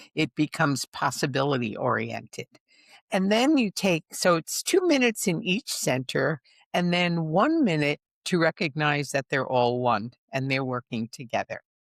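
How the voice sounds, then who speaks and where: Over a very clean recording with a silent background and a dry, close sound with no echo, a woman speaks at a moderate pace with a very deep, low pitch and very wide pitch swings. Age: 80s+. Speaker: spiritual teacher. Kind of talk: interview.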